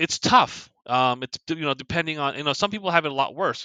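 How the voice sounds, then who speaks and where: This man talks at a fairly quick pace. His words come along briskly. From California, US. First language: Korean. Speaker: film podcast co-host. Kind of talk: casual chat. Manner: hesitant, many fillers.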